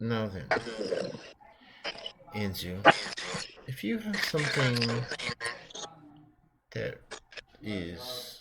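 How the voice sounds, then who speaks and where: A man's put-on character voice at a medium pitch, delivered at a very slow pace. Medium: actual play. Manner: formal, measured.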